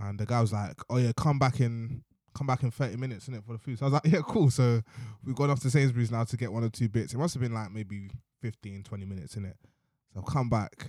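A man with a south-east London accent, medium-pitched with a dark, mellow tone and ordinary pitch variation, talking at a very fast pace in a dry, close sound with no echo. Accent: south-east London multicultural English. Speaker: podcast co-host. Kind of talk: casual chat. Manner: animated.

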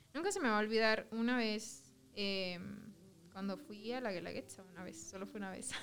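This woman speaks at a moderate pace with a Mexican accent and a fairly high pitch. Her pitch varies in an ordinary way, her loudness swings widely, and room echo is audible. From southern Mexico. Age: 20s. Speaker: fashion design student. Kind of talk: casual chat.

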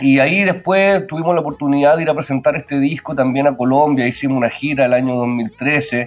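Over music in the background, a man with a fairly high pitch talks at a fairly quick pace with ordinary pitch variation and hardly any pauses. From Chile, Pirque (Santiago area). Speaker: musician, band vocalist. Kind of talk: radio interview.

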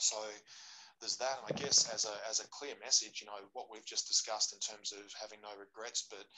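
A man with an Australian accent speaks at a fairly quick pace in a fairly low pitch with a bright, sharp tone. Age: 40s. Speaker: jiu-jitsu practitioner. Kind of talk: casual chat.

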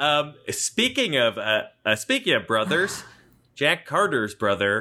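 A man with an ordinary speaking voice and medium pitch speaks at a fairly slow pace with lively intonation. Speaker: podcast co-host. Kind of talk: casual banter about a movie. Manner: joking, improvised, playful.

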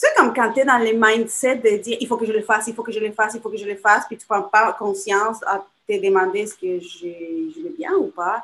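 A woman talks with a Spanish accent at a fairly high pitch. Her loudness swings widely. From Chile. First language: Spanish (speaking French). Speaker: small business owner. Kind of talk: casual interview.

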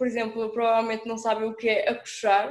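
A woman's flat, monotone delivery in a Minho accent, with audible room echo. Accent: noticeable Minho. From northern Portugal, Alto Minho (Monção). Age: young. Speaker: student. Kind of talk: casual chat. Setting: remote call.

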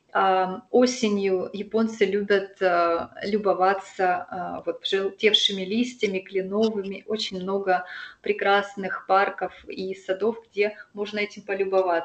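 The pace is very slow. The intonation stays flat and monotone. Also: woman, medium pitch for a woman. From Russian Far East, Sakhalin. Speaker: expat local guide. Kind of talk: interview.

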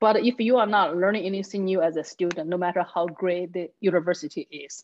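A woman speaks with a Chinese accent at a fairly low pitch. Her pitch varies in an ordinary way. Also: quiet background. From China. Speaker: comedian and public speaker. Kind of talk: casual conversation.

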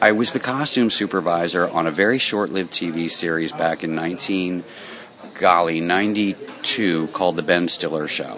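Noticeable background noise under a fairly slow delivery. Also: man, very deep, low pitch for a man, ordinary pitch variation. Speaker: walking tour owner. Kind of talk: interview, casual. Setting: restaurant interview.

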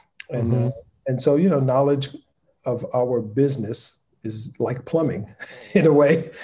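A man speaks at a medium pitch in a dark, mellow, somewhat breathy tone. His pace is moderate and his intonation fairly even. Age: 50s. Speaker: lighting director and nonprofit founder. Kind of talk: casual interview.

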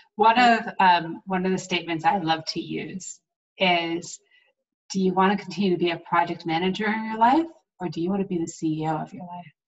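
A woman talks fairly quickly in an unremarkable speaking voice, fairly low in pitch. Her intonation stays fairly even while her loudness swings widely. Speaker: podcast host and coach. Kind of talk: interview. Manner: effusive.

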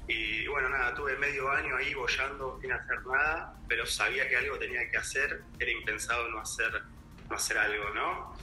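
The speech moves at a moderate pace. Noticeable background noise and audible room echo are present. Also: man. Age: 30s. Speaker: advertising professional. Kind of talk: interview.

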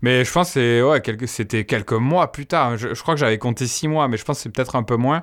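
Very fast speech from a man, medium in pitch with ordinary variation, on a very clean recording with a silent background. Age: 30s. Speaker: YouTuber, dating coach. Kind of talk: casual chat.

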